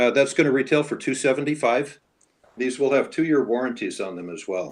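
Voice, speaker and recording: At a fairly quick pace, a man speaks at a medium pitch with vocal fry and big swings in loudness. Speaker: dive equipment presenter. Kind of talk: product presentation.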